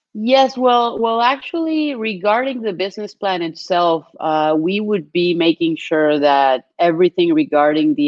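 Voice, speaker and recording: With a Spanish accent, a woman talks at a moderate pace with hardly any pauses and very wide pitch swings. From Colombia. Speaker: business development executive. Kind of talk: webinar presentation.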